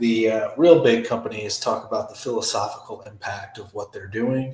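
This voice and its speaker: A quiet man speaks at a moderate pace. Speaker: streamer. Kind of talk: live stream reaction commentary. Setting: home live stream.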